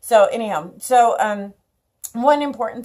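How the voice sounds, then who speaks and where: A woman's dark, mellow voice carries lively intonation at a moderate pace. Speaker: elder care educator. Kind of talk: tutorial. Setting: outdoors. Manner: loud; casual, many fillers.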